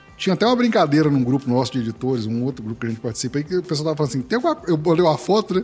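A man talks at a very fast clip with hardly any pauses, his pitch swinging very widely, while music plays in the background. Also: fairly high pitch for a man. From Minas Gerais, Brazil. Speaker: podcast host and editor. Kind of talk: casual interview chat.

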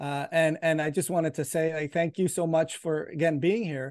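A man with a fairly high pitch and a normal speaking voice talks at a moderate pace against a quiet background. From Canada. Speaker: podcast host, healthcare provider. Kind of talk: interview; scripted narration.

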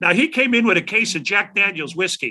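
Talking at a very fast pace, a man with a Chicago accent uses lively intonation and a bright, sharp tone. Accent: Chicago American. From Chicago South Side. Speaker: rock guitarist. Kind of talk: interview storytelling.

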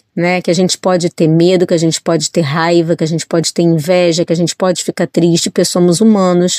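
A woman talks in a monotone with flat intonation at fairly low pitch. The sound is dry and close, with no echo. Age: 40s. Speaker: journalist and children's author. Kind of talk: interview.

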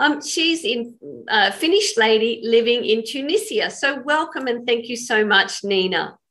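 With an Australian accent, a woman speaks fairly slowly at a high pitch. Her tone is bright and sharp, and her intonation is lively. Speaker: podcast host. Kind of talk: interview.

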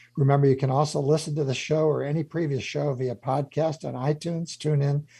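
A somewhat breathy man with a fairly high pitch and dark, mellow tone at a fairly quick pace, quiet background. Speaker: radio host and CEO mentor. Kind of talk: radio interview. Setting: studio.

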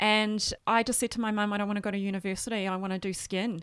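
A woman with an Australian accent speaks at a very fast pace in a monotone, flat way. The recording is very clean, with a silent background. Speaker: skincare distributor. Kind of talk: interview.

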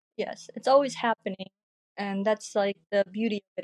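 A woman talks in a normal speaking voice at medium pitch and moderate pace with fairly even intonation. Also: dry, close sound with no echo. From Korea, moved to US at age eight. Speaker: artist and digital creator. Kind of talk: casual interview chat.

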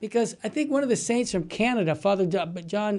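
In an American accent, a man speaks with a dark, mellow tone over a quiet background. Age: 60s. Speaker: radio host. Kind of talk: casual chat. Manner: animated.

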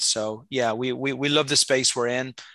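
With a Dublin accent, a man talks at a moderate pace and medium pitch, his tone bright and sharp, his intonation fairly even, against a quiet background. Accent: Irish (Dublin). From Dublin, Ireland. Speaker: accelerator founder. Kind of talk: casual interview.

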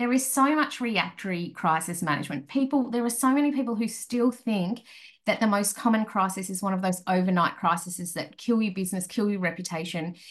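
A woman's somewhat breathy voice at a medium pitch, with lively intonation and a fairly quick pace. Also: quiet background. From rural Australia. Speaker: crisis management consultant. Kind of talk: interview. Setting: remote call.

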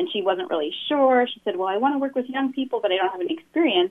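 Very wide pitch swings run through what the woman says. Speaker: diversity consultant and arts leader. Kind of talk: casual radio interview.

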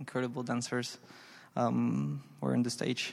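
A man speaks with a Spanish accent. His pace is moderate. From Argentina, Santa Fe province. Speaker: ballet dancer. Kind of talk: live interview before audience. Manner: halting.

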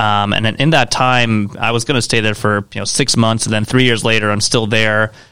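A man's fairly quick, monotone, flat delivery with hardly any pauses over noticeable background noise. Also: medium pitch for a man. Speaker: creative agency founder. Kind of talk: casual interview. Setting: studio.

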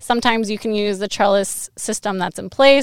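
A plain, everyday voice with an American accent moves at a fairly quick pace on a very clean recording with a silent background. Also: woman. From Western Washington. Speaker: PhD student in viticulture research. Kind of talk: casual interview.

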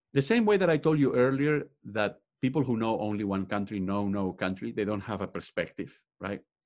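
Speaking fairly quickly with lively intonation, a man with a fairly low pitch and a Spanish accent is heard against a quiet background. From Spain. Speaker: professor and author. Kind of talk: interview. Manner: frequent fillers like uh, um.

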